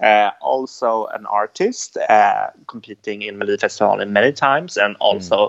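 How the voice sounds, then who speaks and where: A man with a Swedish accent at a moderate pace, hardly any pauses, and a dry, close sound with no echo. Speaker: podcast co-host. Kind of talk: casual chat.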